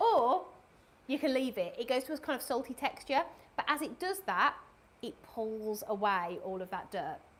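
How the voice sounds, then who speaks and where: In a Birmingham accent, the speaker sounds enthusiastic, with very wide pitch swings. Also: woman, high pitch for a woman, moderate pace. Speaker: cleaning product presenter. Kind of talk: live product demonstration. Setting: live stream studio. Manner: chatty, enthusiastic.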